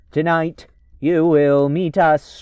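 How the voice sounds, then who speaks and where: A man's put-on, robotic character voice. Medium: solo performance. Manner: mocking, chuckling.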